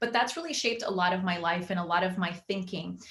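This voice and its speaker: A woman speaks at a fairly quick pace in a medium pitch. Noticeable background noise sits behind her. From Venezuela, later Miami. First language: Spanish. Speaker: magazine founder and life coach. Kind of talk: interview.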